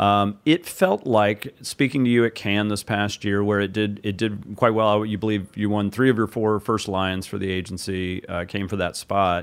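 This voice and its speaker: A normal speaking voice with fairly even intonation and hardly any pauses. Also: man, fairly low pitch for a man, moderate pace. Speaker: interviewer, ad industry journalist. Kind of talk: interview questions.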